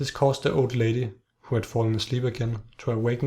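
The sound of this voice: The background stays quiet. The reading voice is unforced.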